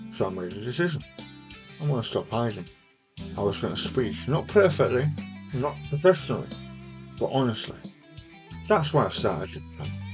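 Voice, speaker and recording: Over music in the background, a man talks at a fairly quick pace, his pitch swinging very widely, with long, frequent pauses. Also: medium pitch for a man. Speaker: cancer survivor. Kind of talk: personal talk to camera.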